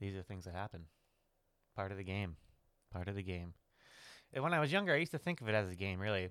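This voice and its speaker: On a very clean recording with a silent background, a man with a fairly low pitch talks at a very fast pace broken by long, frequent pauses. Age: 30s. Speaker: solo podcaster. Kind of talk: personal monologue. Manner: casual, halting with fillers.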